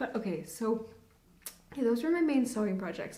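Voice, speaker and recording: A woman speaks at a fairly high pitch, with audible echo from the room. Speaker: knitting podcaster. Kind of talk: casual chat. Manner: fast.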